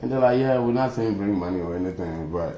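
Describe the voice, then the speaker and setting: A man's voice with lively intonation and audible room echo. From Ghana. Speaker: former student leader. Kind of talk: interview.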